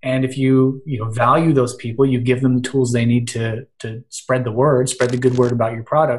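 A somewhat breathy man with an American accent, medium pitch, ordinary pitch variation and a moderate pace. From Western Pennsylvania. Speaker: social media marketer and blogger. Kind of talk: casual interview chat.

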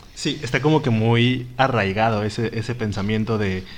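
The voice belongs to a man with a medium pitch. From Mexico. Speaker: podcast co-host. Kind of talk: casual chat.

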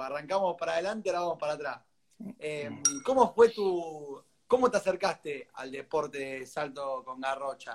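A man with a normal speaking voice talks at a moderate pace, his fairly high pitch carrying lively intonation. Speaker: interview host. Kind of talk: interview.

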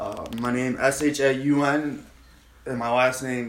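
Speaking with an American accent, a man at medium pitch talks at a fairly slow pace in a monotone, flat intonation, with audible room echo. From Long Island, New York. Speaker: comedian. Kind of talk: casual chat.

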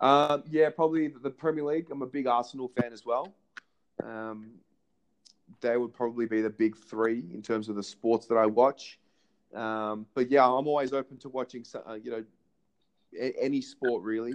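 In an Australian accent, the speaker goes at a moderate pace with ordinary pitch variation, big swings in loudness and long, frequent pauses. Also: man, medium pitch for a man. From Australia, Melbourne. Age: 20s. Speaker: podcast host and amateur sports coach. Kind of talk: casual interview chat. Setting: phone call.

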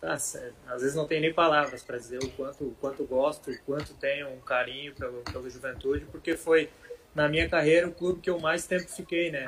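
A man talks at a fairly quick pace with a fairly high pitch. There is noticeable noise in the background. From Santa Catarina, Brazil (Rio do Sul area). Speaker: former professional footballer (defender). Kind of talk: interview.

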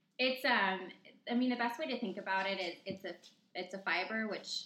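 Moderate pace over noticeable background noise. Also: woman. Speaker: nutrition coach. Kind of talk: casual chat.

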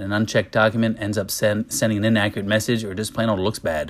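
The recording is very clean, with a silent background. A man talks very fast at medium pitch. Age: 40s. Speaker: podcast host and business owner. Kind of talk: solo talk reading an article.

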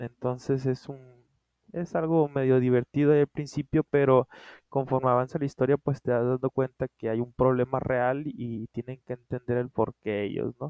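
A man with an ordinary speaking voice at medium pitch, a moderate pace and fairly even intonation. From Culiacán, Sinaloa, Mexico. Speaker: podcast co-host, writer. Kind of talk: casual chat. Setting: remote recording.

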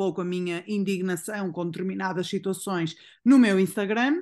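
Against a quiet background, a woman speaks at a medium pitch in an unremarkable speaking voice. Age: 30s. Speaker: nutritionist. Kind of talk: casual chat.

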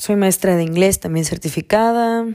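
A woman talks with fairly even intonation. The recording is very clean, with a silent background. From Mexico, Campeche. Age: 20s. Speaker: podcast host. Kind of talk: casual monologue.

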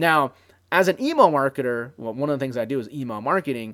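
A man with an unremarkable speaking voice, fairly high pitch and lively intonation at a fairly quick pace, on a very clean recording with a silent background. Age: 30s. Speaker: podcast host and internet marketer. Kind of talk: solo podcast monologue. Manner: casual, filler-heavy.

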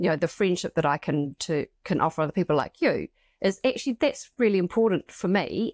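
A woman speaks in a normal speaking voice at a medium pitch, with lively intonation and a fairly quick pace. The recording is very clean and silent behind her, with a dry, close sound and no echo. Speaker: podcast co-host and academic. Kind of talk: casual conversational podcast discussion.

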